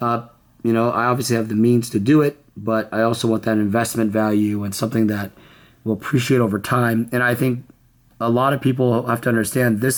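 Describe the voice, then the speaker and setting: In a very clean recording with a silent background, a man talks at a fairly quick pace in a flat, monotone delivery at medium pitch. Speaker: collectible card dealer and video host. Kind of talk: casual product talk to camera. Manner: many fillers, um and uh.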